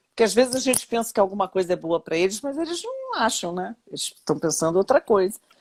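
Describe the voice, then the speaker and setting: A woman speaks very fast at a fairly high pitch with very wide pitch swings. The sound is dry and close with no echo. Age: 60s. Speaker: retired labour judge. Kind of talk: interview. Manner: halting.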